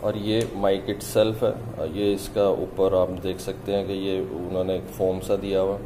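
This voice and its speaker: With noticeable background noise around him, a man is speaking. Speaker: product demonstrator. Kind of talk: tutorial. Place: office.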